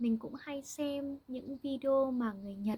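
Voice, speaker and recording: A woman talks at a fairly slow pace with ordinary pitch variation. Her tone is dark and mellow, and somewhat breathy. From Vietnam. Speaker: language teacher. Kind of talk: language-learning monologue. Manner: slow and clear, with fillers.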